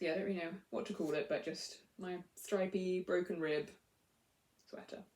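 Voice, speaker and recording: A woman speaks with a medium pitch, a somewhat breathy tone and fairly even intonation. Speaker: knitting podcaster. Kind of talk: casual chat.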